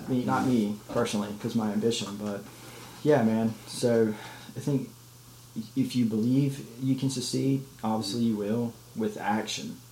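The voice belongs to a man. Audible room echo surrounds it. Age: 20s. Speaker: podcast co-host. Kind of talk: casual chat.

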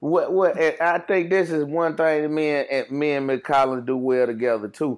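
A man talks at a moderate pace in a fairly high voice with ordinary pitch variation and hardly any pauses. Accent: Mississippi. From Jackson, Mississippi. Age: 30s. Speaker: school behavior specialist. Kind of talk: casual chat.

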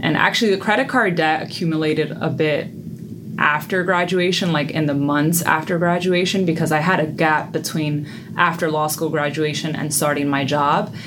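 A woman with a very deep, low voice speaks at a moderate pace with very even loudness and fairly even intonation, and the recording has audible room echo and noticeable background noise. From US Northeast, the Bronx, New York. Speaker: personal finance coach. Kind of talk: interview.

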